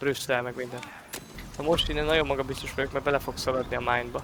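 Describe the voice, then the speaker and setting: A man is talking, with his pitch at a medium level. Noticeable background noise is present, and his pitch variation is ordinary. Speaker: gaming streamer. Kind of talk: let's play commentary. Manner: quieter than usual; casual, swearing banter.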